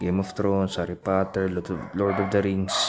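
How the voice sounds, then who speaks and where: Noticeable background noise surrounds a man's fairly quick speech. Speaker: vlogger reacting to film announcements. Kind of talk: casual reaction commentary.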